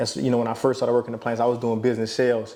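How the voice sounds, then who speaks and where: A relaxed man with an American accent, medium pitch and monotone, flat intonation, against noticeable background noise. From Louisiana, Opelousas. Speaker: former college athlete. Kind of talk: casual podcast interview. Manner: relaxed, filler-heavy.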